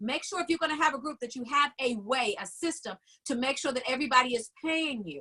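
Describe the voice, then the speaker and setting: A woman projects her raised voice in a high pitch with a bright, sharp tone, talking fairly quickly with ordinary pitch variation. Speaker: business coach. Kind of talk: online class webinar. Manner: fast.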